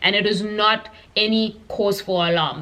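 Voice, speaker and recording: A woman speaks with a Zulu accent at a medium pitch. Her intonation is fairly even, and background noise is noticeable. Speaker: science YouTuber. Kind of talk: explainer Q&A vlog. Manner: hesitant, many fillers.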